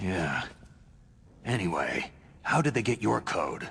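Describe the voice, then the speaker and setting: Lively intonation marks a man's put-on character voice at medium pitch. He speaks at a fairly slow pace. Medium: video game. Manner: terse, gruff.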